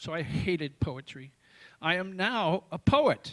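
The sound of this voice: Slow and fairly bright in tone, a man speaks at a high pitch with big pitch swings.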